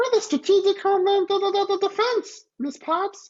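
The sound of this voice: Pitched extremely high, this put-on character voice keeps a moderate pace.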